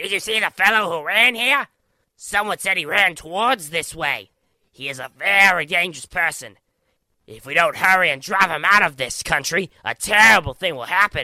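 Putting on a character voice, a man speaks at a moderate pace in a raised, projected, raspy voice with a high pitch, lively intonation and big swings in loudness, the sound dry and close with no echo. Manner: urgent, alarmist.

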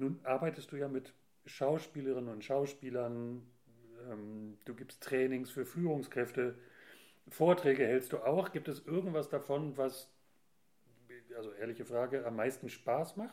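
Using a dark, mellow tone at medium pitch, a man speaks at a fairly slow pace with ordinary pitch variation and long, frequent pauses. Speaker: podcast host. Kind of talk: casual interview.

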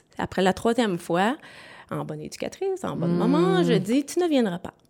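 The voice has a dark, mellow tone and lively intonation. Its pace is moderate. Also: woman. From Quebec, Sherbrooke. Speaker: bereaved mother, daycare operator. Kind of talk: testimony.

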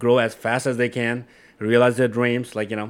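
Very fast speech from a man with a Nepali accent, medium in pitch, on a very clean recording with a silent background. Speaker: software engineer and company co-founder. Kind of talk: casual interview.

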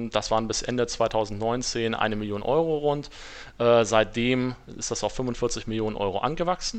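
A man with an ordinary speaking voice talks at a moderate pace, with medium pitch and ordinary pitch variation. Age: 30s. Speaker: AI project manager at business development agency. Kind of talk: podcast interview.

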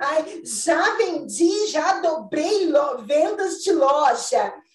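Extremely high-pitched, a woman speaks with lively intonation and very even loudness. Room echo can be heard. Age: 40s. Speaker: retail consultant and mentor. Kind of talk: casual chat.

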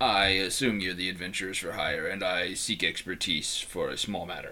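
A man puts on a character voice with a very deep, low pitch, keeping a moderate pace. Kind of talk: polite, formal. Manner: monotone, formal.

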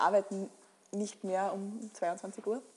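A woman speaks with monotone, flat intonation. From Lower Austria, near Krems. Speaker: company founder. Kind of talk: interview. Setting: village inn.

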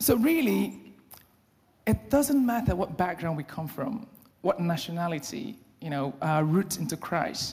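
Speaking with a Nigerian accent, a man with a high pitch talks at a fairly slow pace, using very wide pitch swings and long, frequent pauses. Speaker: lay preacher. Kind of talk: sermon. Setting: church.

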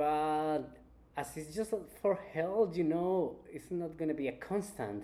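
Speaking with a Spanish accent at a fairly slow pace, a man has a fairly high pitch and a dark, mellow tone. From Colombia, Cali. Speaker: chef. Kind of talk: interview.

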